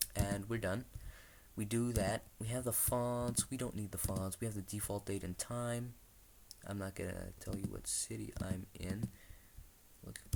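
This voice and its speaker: Quiet and fairly low in pitch, a man talks at a fairly slow pace. His speech has long, frequent pauses. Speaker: tech youtuber. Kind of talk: screen-recorded tutorial with live commentary. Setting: at home, someone sleeping nearby. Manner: kept quiet, low volume; excited, animated at success.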